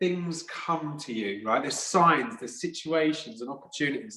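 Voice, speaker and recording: Noticeable background noise under a man's fairly high, lively voice, moderate in pace with hardly any pauses. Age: 40s. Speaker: podcast host. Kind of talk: interview conversation.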